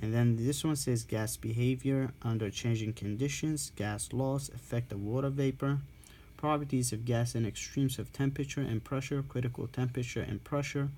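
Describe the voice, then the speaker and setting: A man speaks at a moderate pace in a somewhat breathy voice with a dark, mellow tone. His intonation stays fairly even. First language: not English. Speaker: respiratory therapy student tutor. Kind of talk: reading aloud and explaining a textbook. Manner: halting, with self-corrections.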